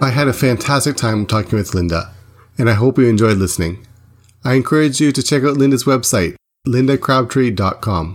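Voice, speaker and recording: At a fairly quick pace, a plain, everyday voice speaks with ordinary pitch variation. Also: man, medium pitch for a man. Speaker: podcast host. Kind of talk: interview, casual conversational. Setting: remote call from Tokyo.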